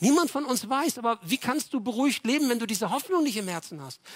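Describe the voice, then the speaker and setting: Recorded very cleanly against a silent background, a man speaks at an extremely high pitch. His tone is animated and his pace fairly quick. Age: 60s. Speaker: pastor. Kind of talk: sermon.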